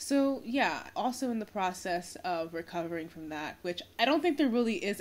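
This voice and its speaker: A woman speaks at a fairly quick pace, her pitch swinging very widely. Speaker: vlogger. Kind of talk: casual vlog chat. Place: home room. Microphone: phone near.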